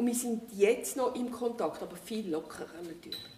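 A woman's fairly high voice in a Zurich accent, lively in intonation, over noticeable background noise. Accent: Swiss German, Zurich area. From Switzerland, Winterthur. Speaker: retiree, former aid worker. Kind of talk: casual interview.

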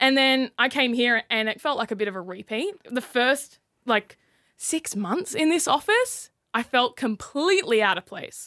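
In an Australian accent, a woman speaks at a moderate pace in a high, bright, sharp voice with very wide pitch swings, dry and close with no echo on a very clean recording with a silent background. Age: 20s. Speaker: radio creative writer. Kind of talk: casual chat.

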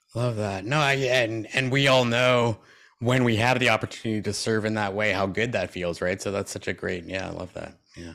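A man with a Canadian accent speaks at a moderate pace and medium pitch. His tone is bright and sharp, with ordinary pitch variation. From Canada. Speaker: keynote speaker and transplant recipient. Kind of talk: interview.

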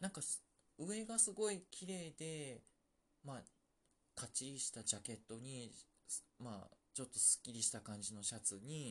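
The pitch swings very widely, and the voice is somewhat breathy. Delivery is at a moderate pace with long, frequent pauses. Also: man, medium pitch for a man. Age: 40s. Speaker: podcast host. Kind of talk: casual solo chat. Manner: soft-spoken.

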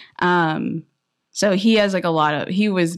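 A woman with an American accent speaks with ordinary pitch variation on a very clean recording with a silent background. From Inland Empire, Southern California. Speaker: alterations business founder. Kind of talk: interview.

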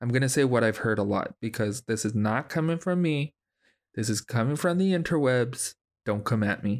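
A man with a medium pitch speaks at a moderate pace with lively intonation and very even loudness, in an ordinary speaking voice. The sound is dry and close with no echo, and the recording is very clean with a silent background. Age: 30s. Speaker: podcast host. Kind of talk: casual chat.

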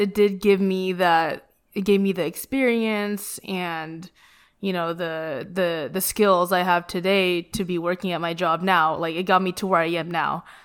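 Woman with a normal speaking voice, medium pitch, fairly slow pace and fairly even intonation on a very clean recording with a silent background. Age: 20s. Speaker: podcast host. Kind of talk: casual chat.

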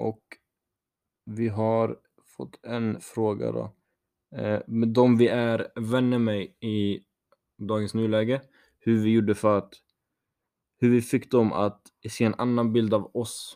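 Speaking very slowly, a man at medium pitch uses monotone, flat intonation with long, frequent pauses. The recording is very clean, with a silent background. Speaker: podcast co-host. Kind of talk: casual chat.

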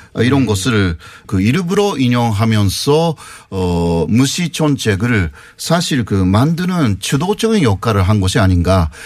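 A man at a medium pitch and very slow pace, with very wide pitch swings and very even loudness. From Japan. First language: Japanese (speaking Korean). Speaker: university professor. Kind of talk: interview.

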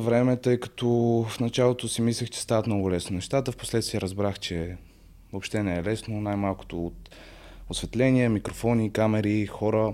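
The voice belongs to a man, pitched in the middle range. It carries a dark, mellow tone. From Bulgaria, Sofia. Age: 20s. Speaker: social media content creator and psychology student. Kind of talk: casual podcast interview.

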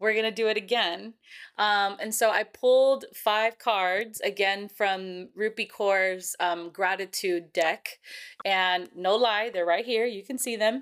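A woman's normal speaking voice with an American accent, medium pitch, fairly even intonation and a fairly slow pace, on a very clean recording with a silent background. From California. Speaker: podcast host and school social worker. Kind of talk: casual chat; reading aloud.

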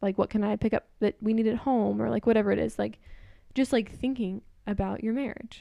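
A woman speaks at a fairly quick pace. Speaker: podcast co-host. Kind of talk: casual family chat.

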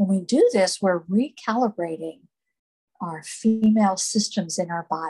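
A woman speaks at a fairly slow pace in a somewhat breathy voice of medium pitch with ordinary pitch variation. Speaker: meditation guide. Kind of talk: guided meditation. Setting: live group meditation, recorded.

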